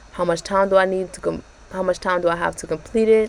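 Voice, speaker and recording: Soft-spoken and flat, a woman talks in a monotone at a fairly low pitch. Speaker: YouTuber reviewing exam prep tool. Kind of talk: tutorial walkthrough. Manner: casual, with fillers.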